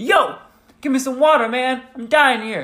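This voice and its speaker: Shouting in a put-on character voice, a man talks at a moderate pace with an extremely high pitch. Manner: yelling, demanding.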